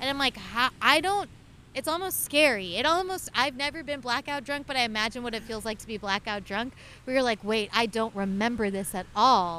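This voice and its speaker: In an American accent, a woman speaks at a high pitch with a bright, sharp tone. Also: lively intonation, fairly quick pace. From Oklahoma. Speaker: podcast guest. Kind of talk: casual chat. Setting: outdoors at the beach.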